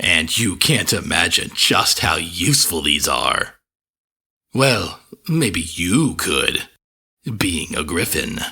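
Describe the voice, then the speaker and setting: A man does a put-on character voice with a very deep, low pitch. He goes very slowly, with long, frequent pauses. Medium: read story. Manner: genial, proud, clinically detached.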